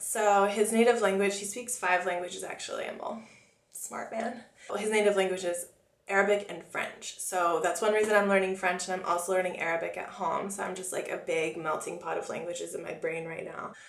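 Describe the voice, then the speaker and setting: Fairly quick, fairly even speech in a Californian accent, with audible room echo and noticeable background noise. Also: woman, medium pitch for a woman. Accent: American, with Californian vernacular. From US, Florida (Oviedo, near Orlando). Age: 20s. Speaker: makeup artist and beauty vlogger. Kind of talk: casual Q&A vlog. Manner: chatty, talkative.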